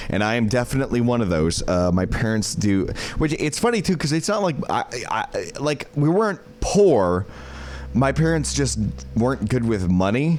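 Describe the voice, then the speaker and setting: A man at a moderate pace with very even loudness, music in the background. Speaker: streamer. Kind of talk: casual live-stream chat. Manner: slurred; halting.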